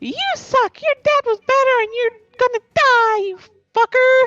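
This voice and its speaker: Speaking at a fairly slow pace, this put-on character voice sits at an extremely high pitch. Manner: taunting, intimidating.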